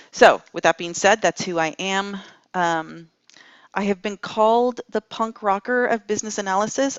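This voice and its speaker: With an unremarkable speaking voice, a woman speaks at a moderate pace and shows ordinary pitch variation. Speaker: business analysis trainer. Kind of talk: lecture.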